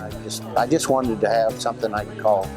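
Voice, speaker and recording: Moderate-paced male speech in an American accent, backed by music. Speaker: auctioneer. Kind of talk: interview answer.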